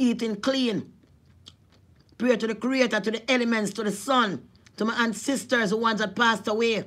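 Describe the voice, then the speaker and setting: A woman speaks with a Jamaican accent in a fairly high voice. Her intonation is fairly even, broken by long, frequent pauses. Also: moderate pace. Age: 40s. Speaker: vlogger. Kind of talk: casual vlog monologue; preaching. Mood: earnest, spiritual. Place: home room. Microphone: phone near.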